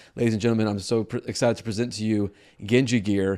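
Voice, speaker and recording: On a very clean recording with a silent background, a man talks at a very fast pace in a fairly low pitch with a dark, mellow tone. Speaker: YouTube gaming creator. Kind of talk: casual interview chat. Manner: slurs words sometimes.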